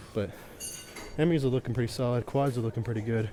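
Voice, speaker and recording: Audible room echo on a man's voice of medium pitch. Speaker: fitness vlogger. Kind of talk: casual workout vlog. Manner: casual, filler-heavy; quiet.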